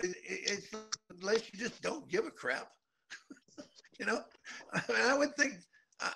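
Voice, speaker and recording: Music plays behind a man whose raised, projected voice reaches an extremely high pitch, swinging very widely in pitch at a moderate pace with long, frequent pauses. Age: 70s. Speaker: retired motocross racer and riding teacher. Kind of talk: interview. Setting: remote link to studio.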